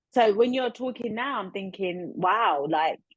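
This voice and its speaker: A woman with a South London accent talks at a moderate pace with lively intonation. The sound is dry and close, with no echo. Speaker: podcast host. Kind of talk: casual interview chat.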